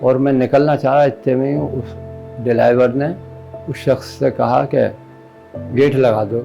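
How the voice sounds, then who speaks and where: Over background music, a man of medium pitch talks with ordinary pitch variation and long, frequent pauses. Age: 60s. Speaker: assault victim. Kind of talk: interview answer.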